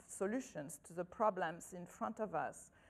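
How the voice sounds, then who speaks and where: At a fairly slow pace, a woman speaks at medium pitch with fairly even intonation. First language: not English. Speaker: agricultural scientist. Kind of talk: conference talk. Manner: halting.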